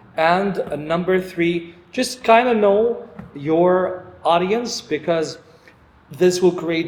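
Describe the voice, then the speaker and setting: A man speaks with a non-native accent. Noticeable background noise runs underneath. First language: not English. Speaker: podcast host. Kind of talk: casual chat.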